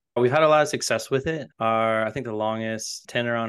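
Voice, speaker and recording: This man has a plain, everyday voice, speaking at a medium pitch and moderate pace with an American accent. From US South, North Carolina (Raleigh). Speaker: mortgage loan officer and company founder. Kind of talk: interview.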